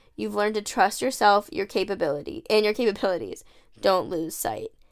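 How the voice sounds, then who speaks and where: A woman speaks at medium pitch with lively intonation and a plain, everyday voice. The recording is very clean, with a silent background. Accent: American. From United States. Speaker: podcast host. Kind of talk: casual monologue. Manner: chatty, filler-heavy.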